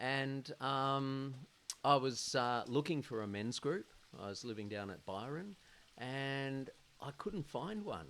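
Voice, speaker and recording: Speaking very slowly, a man with a medium pitch uses lively intonation. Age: 60s. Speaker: men's group founder. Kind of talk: podcast interview, personal testimony. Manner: halting, with fillers.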